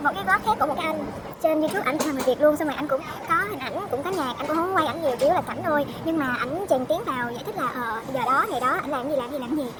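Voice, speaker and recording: Over noticeable background noise, a woman talks very fast at a high pitch with lively intonation. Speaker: vlogger, international student. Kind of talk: casual vlog talk.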